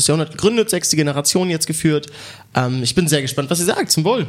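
A man with an ordinary speaking voice, fairly high pitch and ordinary pitch variation. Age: young. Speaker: sommelier. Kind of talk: wine tasting commentary. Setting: wine club venue.

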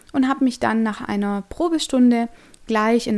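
A woman with a normal speaking voice, fairly high pitch and ordinary pitch variation, at a moderate pace, on a very clean recording with a silent background. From Stuttgart, Germany. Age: 20s. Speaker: yoga teacher. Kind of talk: podcast monologue.

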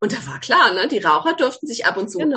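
A woman at a very fast pace, her pitch swinging very widely, over noticeable background noise. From Baden, southwest Germany. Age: 40s. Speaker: gynecologist, author. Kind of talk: interview.

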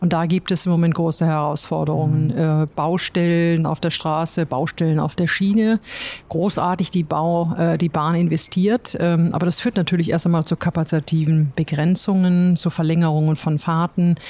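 Using an ordinary speaking voice, a woman with fairly low pitch talks at a moderate pace with very even loudness. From Ruhr area, Germany. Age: 50s. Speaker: logistics company chief executive. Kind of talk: interview. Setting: company office.

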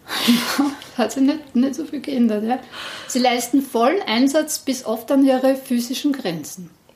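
A woman talks at a fairly slow pace and a high pitch. Noticeable background noise sits behind her. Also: ordinary pitch variation. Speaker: podcast host, district museum staff. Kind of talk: casual interview and presentation.

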